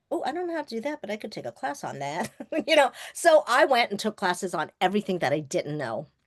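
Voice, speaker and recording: A woman's fairly high, vocal-fry voice with an American accent, very wide pitch swings, big swings in loudness and a very fast pace, dry and close with no echo. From US Northeast, Long Island, New York. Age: 60s. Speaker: filmmaker and trauma survivor. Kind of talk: personal testimony in a webinar interview. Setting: webinar. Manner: animated.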